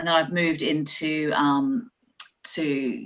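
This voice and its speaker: Very deep, low pitch from a woman, with an Australian accent. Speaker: nurse. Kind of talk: conference talk.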